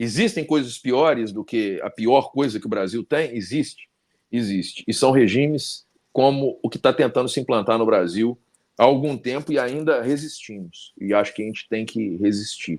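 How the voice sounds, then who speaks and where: The recording is very clean and the background silent. Using a normal speaking voice, a man talks at a moderate speed and medium pitch, with usual pitch variation. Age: 50s. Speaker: talk show host and law professor. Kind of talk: casual interview chat.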